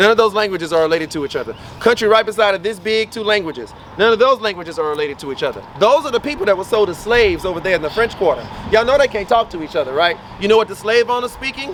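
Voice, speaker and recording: Over noticeable background noise, a man with a Louisiana accent talks at a very fast pace in a high, animated voice with lively intonation. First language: Louisiana Creole. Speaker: voodoo priest and tour guide. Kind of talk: guided walking tour talk.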